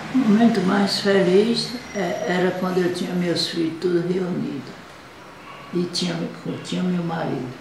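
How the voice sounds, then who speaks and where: Amid noticeable background noise and audible room echo, a woman speaks at a fairly slow pace in a fairly low pitch, with long, frequent pauses. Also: ordinary pitch variation. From Brazil, Bahia. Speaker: grandmother. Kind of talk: interview. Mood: calm, reflective, sad at end. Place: home room. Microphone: webcam.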